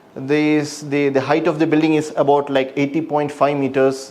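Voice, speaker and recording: Moderate-paced speech with a Keralan accent and monotone, flat intonation. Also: man. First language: Malayalam. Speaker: structural engineer. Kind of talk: self-presentation, portfolio walkthrough. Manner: halting.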